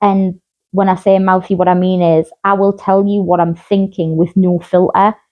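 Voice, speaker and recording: Speaking at a moderate pace and medium pitch, a woman keeps a monotone, flat intonation and very even loudness. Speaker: mental health podcast host. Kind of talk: casual chat.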